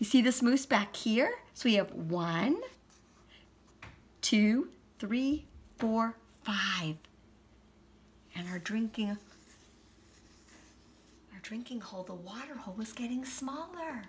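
Very slow and full of long, frequent pauses, a woman's somewhat breathy voice shows lively intonation and big swings in loudness. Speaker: story reader. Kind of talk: children's story read-aloud. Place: home room. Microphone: phone near.

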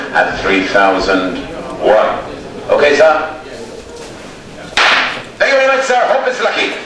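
The speaker has an Irish accent and a fairly slow pace with long, frequent pauses. Strong room echo and noticeable background noise fill the recording. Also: man. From Ireland, county Roscommon. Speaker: livestock auctioneer. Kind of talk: livestock auction calling. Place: market.

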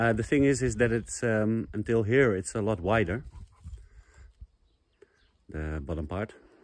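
Over light background noise, a man with a fairly low pitch and lively intonation speaks at a fairly slow pace, the sound dry with no echo. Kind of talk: casual vlog chat. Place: open country. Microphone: phone near.

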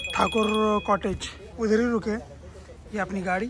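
With faint background noise behind him, a man speaks at a high pitch.

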